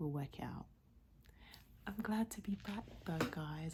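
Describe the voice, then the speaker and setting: Soft-spoken and somewhat breathy, a woman with an English accent speaks at a fairly slow pace in a fairly low pitch. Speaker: YouTuber. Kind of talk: casual vlog chat. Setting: at home at night.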